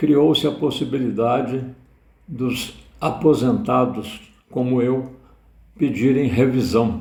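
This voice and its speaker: A man's very slow speech with vocal fry, long and frequent pauses, and audible room echo. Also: medium pitch for a man, ordinary pitch variation. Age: 70s. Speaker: retiree. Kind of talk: personal testimony.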